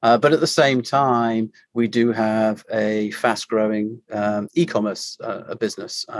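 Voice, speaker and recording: Speaking with a British accent, a man keeps a medium pitch and a fairly slow pace with ordinary pitch variation and hardly any pauses. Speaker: company CEO. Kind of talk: casual interview.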